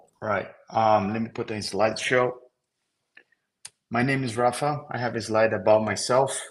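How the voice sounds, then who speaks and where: This is a man speaking. He has a Brazilian accent. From Brazil, Rio de Janeiro. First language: Portuguese. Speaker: software engineer. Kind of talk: technical presentation.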